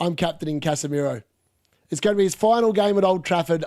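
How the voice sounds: This man has a high voice with a slightly mellow tone and ordinary pitch variation.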